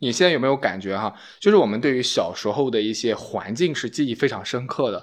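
A man at a very fast pace and medium pitch, with lively intonation against a quiet background. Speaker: podcast host. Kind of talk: casual chat.

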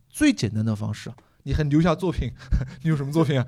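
A man talks at a very fast pace in a somewhat breathy voice with a dark, mellow tone. His pitch is fairly high and varies in an ordinary way. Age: 30s. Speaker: comedian. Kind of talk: casual chat. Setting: stage with audience.

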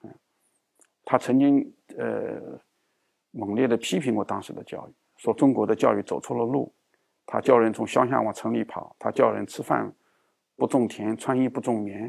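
The delivery moves at a moderate pace with big swings in loudness and long, frequent pauses, captured in a dry, close sound with no echo. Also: man. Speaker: education professor. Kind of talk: interview. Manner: frequent hesitation fillers.

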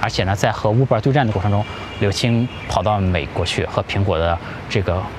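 A man's fairly low voice at a fairly quick pace, with ordinary pitch variation and noticeable background noise. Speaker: business video blogger, entrepreneur. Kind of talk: solo commentary monologue. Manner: casual, many filler words and pauses.

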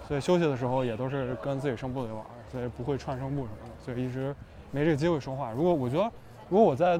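Very fast speech from a man at medium pitch, with ordinary pitch variation. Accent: slight Beijing. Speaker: a cappella singer. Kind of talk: casual chat. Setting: restaurant.

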